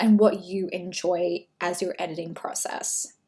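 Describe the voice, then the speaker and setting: A woman with an Australian accent. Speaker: brand photographer. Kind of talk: tutorial. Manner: casual, conversational.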